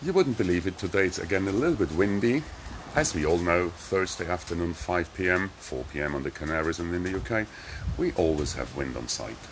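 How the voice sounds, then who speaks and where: A man speaks in a very deep, low voice over noticeable background noise. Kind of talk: live property tour commentary. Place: home room. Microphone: phone near.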